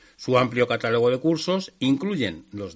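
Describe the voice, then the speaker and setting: Here a man speaks at a moderate pace, his pitch swinging very widely. The background is quiet. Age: 50s. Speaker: radio host of a motorcycle show. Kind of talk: radio show monologue. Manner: hesitant with frequent fillers.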